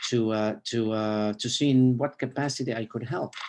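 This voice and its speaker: This man has a medium-pitched voice and fairly even intonation. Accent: Arabic. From Lebanon (Beirut). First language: Arabic. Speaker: rabbi. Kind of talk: interview. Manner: halting, many fillers.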